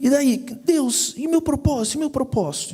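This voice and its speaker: The man's voice is dark and mellow. He talks fairly slowly. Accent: Curitiba. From Brazil, Curitiba. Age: 30s. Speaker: personal finance speaker. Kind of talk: sermon-style talk. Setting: church.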